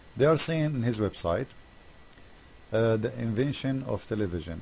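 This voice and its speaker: Lively intonation in a man's dark, mellow, somewhat breathy voice. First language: Arabic. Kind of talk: commentary video critiquing a website. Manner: animated, mocking; halting, many fillers.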